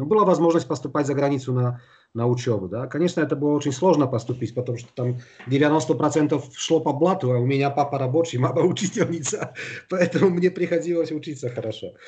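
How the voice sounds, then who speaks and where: A man talks very fast in a Polish accent, his pitch fairly high with ordinary variation. His tone is dark and mellow, and somewhat breathy. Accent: Polish accent in Russian. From eastern Poland, Białystok. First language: Polish (speaking Russian). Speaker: flooring industry executive. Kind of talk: interview. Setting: remote call from home.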